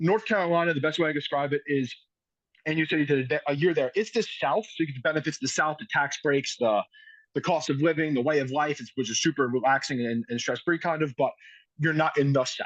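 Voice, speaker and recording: With an American accent, a man talks at a very fast pace in a fairly high pitch with ordinary pitch variation. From New York. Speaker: high school football coach. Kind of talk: podcast interview. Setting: outdoors.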